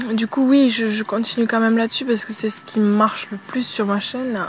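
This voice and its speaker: With music in the background, a woman speaks at a fairly high pitch with fairly even intonation. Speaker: YouTuber. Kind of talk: casual Q&A vlog. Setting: outdoors at a campsite. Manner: hesitant, many fillers; speaking softly.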